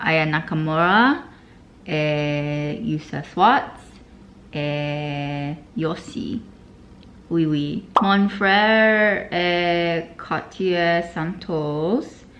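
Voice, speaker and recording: Very slow speech from a woman in a room with audible echo. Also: fairly low pitch for a woman, ordinary pitch variation. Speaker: language learning vlogger. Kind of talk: casual vlog. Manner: halting when speaking French.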